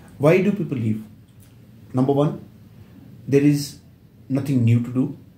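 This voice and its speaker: Somewhat breathy and dark, mellow in tone, a man with an Indian accent and a fairly high pitch speaks at a moderate pace with ordinary pitch variation amid audible room echo. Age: 70s. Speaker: company secretary. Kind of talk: interview.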